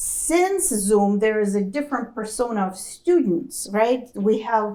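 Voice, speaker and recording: A woman with a non-native accent speaks at a fairly slow pace in a fairly high pitch. Her tone is dark and mellow, and her intonation is lively. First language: not English. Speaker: accounting educator, former corporate finance professional. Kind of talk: panel Q&A talk.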